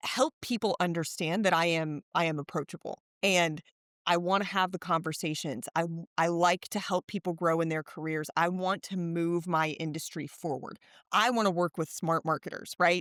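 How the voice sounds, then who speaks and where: A woman with an American accent speaks in an ordinary speaking voice at a moderate pace, her fairly low pitch moving with ordinary variation, on a very clean recording with a silent background and a dry, close sound with no echo. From Texas. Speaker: marketer and author. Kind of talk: podcast interview.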